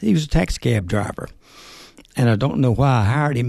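Somewhat breathy male voice at medium pitch, fairly quick, with lively intonation. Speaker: part-time auto shop manager. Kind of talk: casual interview. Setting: studio.

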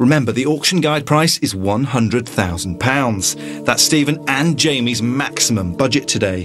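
A man speaks at a moderate pace and medium pitch with hardly any pauses, his loudness very even but his pitch swinging very widely, over music in the background. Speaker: TV show narrator. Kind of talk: television property-show narration.

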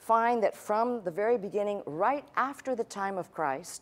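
Her pitch moves in an ordinary way. The woman talks at a moderate pace. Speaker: pastor. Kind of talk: sermon. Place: church. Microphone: lapel.

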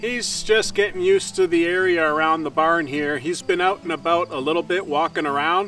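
A man's high-pitched voice at a moderate pace with ordinary pitch variation, a dry sound with no echo, and faint music in the background. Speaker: farm vlogger. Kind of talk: casual vlog chat. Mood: calm, caring. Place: open country. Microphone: camera far.

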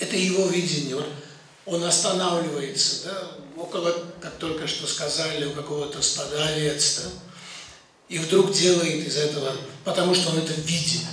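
A man's fairly high voice at a moderate pace, with long, frequent pauses and audible room echo. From Georgia. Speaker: geologist and poet. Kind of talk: speech at film screening. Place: hall.

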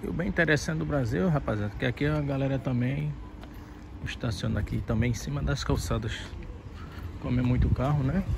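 A man's medium-pitched voice at a fairly quick pace, full of very wide pitch swings and long, frequent pauses, with noticeable background noise and a dry, echo-free sound. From Natal, Rio Grande do Norte, Brazil. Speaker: barber. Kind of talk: casual vlog talk to camera. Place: street. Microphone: phone near.

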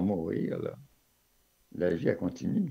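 This man talks at a very slow pace, his pitch swinging very widely. His tone is dark and mellow with vocal fry, over a quiet background. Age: 80s+. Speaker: filmmaker. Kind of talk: interview answer. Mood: calm, reflective. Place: home room. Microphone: webcam.

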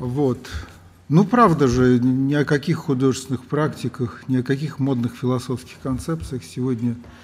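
Ordinary pitch variation colors a man's speech, which moves at a fairly slow pace. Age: 60s. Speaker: lecturer. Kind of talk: lecture. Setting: lecture hall with audience. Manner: halting. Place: hall. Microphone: camera far.

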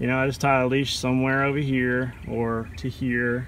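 Very slowly and with fairly even intonation, a man speaks in a dry sound with no echo over light background noise. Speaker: kayak fishing vlogger. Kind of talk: casual vlog chat. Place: garden. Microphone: phone near.

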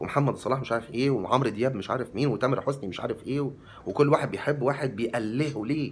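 Speaking very fast with hardly any pauses, a man sounds animated and somewhat breathy, his pitch varying in an ordinary way. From Egypt. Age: 40s. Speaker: vlogger. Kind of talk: monologue to camera. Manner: talkative. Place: home room. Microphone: phone near.

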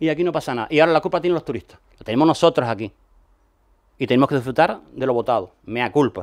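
Over a quiet background, a man talks at a very fast pace in a fairly high pitch. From Canary Islands. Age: 50s. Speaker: former local politician. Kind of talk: radio interview. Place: studio. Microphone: studio mic.

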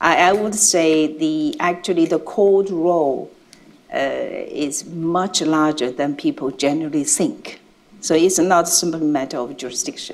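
Speaking fairly slowly, a woman with a Chinese accent uses a fairly low pitch. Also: ordinary pitch variation. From China. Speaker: international judge. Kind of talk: panel discussion. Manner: loud. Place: hall.

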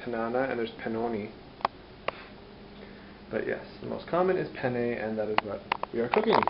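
Loud background noise fills the clip. A man speaks over it. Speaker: home cooking vlogger. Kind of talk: casual vlog chat. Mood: playful, joking. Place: kitchen. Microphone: phone near.

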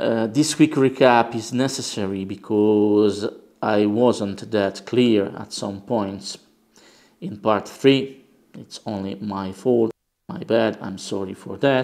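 With a quiet background, a man speaks very slowly at a fairly low pitch, with ordinary pitch variation and big swings in loudness. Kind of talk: tutorial. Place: workshop.

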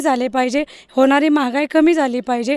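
The voice has ordinary pitch variation, captured with a dry, close sound with no echo. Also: woman. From Maharashtra, Patan taluka (Satara). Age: 30s. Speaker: party supporter. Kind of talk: interview. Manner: animated.

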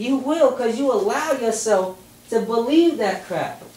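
Audible room echo carries a man's high-pitched voice, animated in tone with lively intonation. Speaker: rally speaker. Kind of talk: rally speech, street-preacher style, driving home points with rhetorical questions. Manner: animated, emphatic, repeating "you know what I'm saying?" to pull the crowd in; fired-up, conversational, urgent, building through question after question. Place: hall. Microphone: camera far.

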